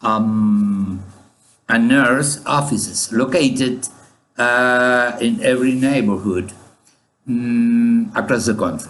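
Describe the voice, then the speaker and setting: At a very slow pace, a man talks at medium pitch with ordinary pitch variation and very even loudness, with audible room echo. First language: Spanish. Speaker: statistician. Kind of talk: conference presentation. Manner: halting, many fillers.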